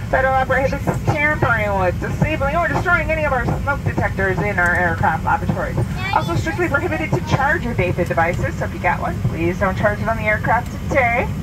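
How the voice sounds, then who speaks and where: The speech moves at a very fast pace. Loud background noise runs underneath it. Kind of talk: safety announcement. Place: plane.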